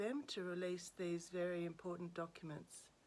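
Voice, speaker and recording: At a fairly slow pace, a woman with an Australian accent talks in a fairly low voice. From Australia, Sydney. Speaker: commentator. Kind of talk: casual monologue. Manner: halting.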